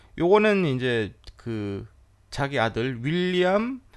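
A man is speaking. His pitch swings very widely. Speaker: classical music podcast host and pianist. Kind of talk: casual educational talk. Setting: at home.

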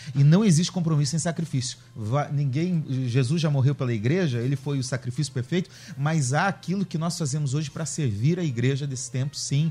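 A man's somewhat breathy, dark, mellow tone at a fairly high pitch, fairly quick pace and ordinary pitch variation. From Curitiba, southern Brazil. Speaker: pastor. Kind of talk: radio panel debate. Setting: radio studio.

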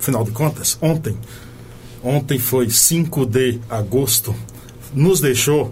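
Against noticeable background noise, a man talks at a fairly slow pace with ordinary pitch variation. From Bahia, Brazil. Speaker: radio host. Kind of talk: radio show hosting and interview. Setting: studio in São Paulo. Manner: animated, uses northeastern slang.

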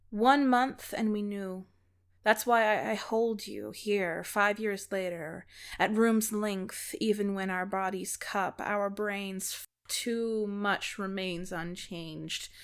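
A woman at medium pitch, very slow and fairly even in intonation, on a very clean recording with a silent background. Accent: American. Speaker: podcast host and local poet.

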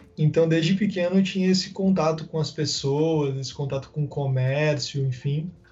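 A man uses a normal speaking voice at a moderate pace and fairly high pitch, with fairly even intonation and hardly any pauses. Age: 20s. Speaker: marketing manager. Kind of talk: casual interview chat. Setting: remote call.

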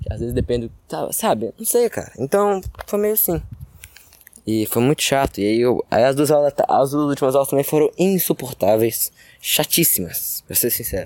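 Here is a man with a fairly high pitch. His pitch swings very widely. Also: moderate pace, dry, close sound with no echo. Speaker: solo podcaster. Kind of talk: casual monologue. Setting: outdoors, building playground. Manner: loud.

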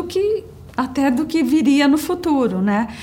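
Amid noticeable background noise and audible room echo, a woman speaks in a high voice that swings very widely in pitch. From São Paulo, Brazil (childhood in Brasília). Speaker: company employee, insurance manager. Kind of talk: personal testimony interview.

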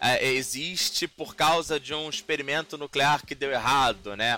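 In a bright, sharp tone, a man speaks at a fairly slow pace. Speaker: podcast host and game designer. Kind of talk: casual chat.

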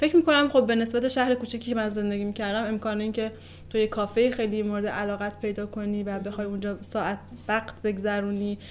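Very fast delivery with fairly even intonation. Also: woman. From northern Iran. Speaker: interviewee. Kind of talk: casual chat.

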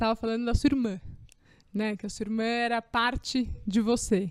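Flat, monotone intonation from a woman pitched fairly high. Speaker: podcast host, maternity health professional. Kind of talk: casual interview chat.

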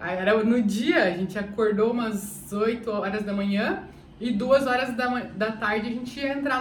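Fairly high-pitched woman with ordinary pitch variation, audible room echo and noticeable background noise. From Brazil, Curitiba. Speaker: travel vlogger. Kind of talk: casual storytelling vlog.

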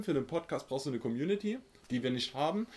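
A man talks very fast, his intonation lively. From Saxony, Germany (central, small village). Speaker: podcast co-host. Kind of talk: casual chat.

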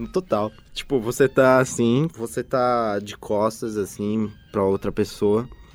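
The pace of this man's speech is very slow. His pitch is medium. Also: ordinary pitch variation. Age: 20s. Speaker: podcast co-host. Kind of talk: casual chat.

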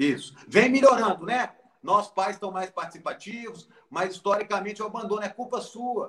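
Pitched high, a man's voice shows ordinary pitch variation. He speaks at a moderate pace. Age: 40s. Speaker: founder of a Down syndrome charity. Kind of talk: interview.

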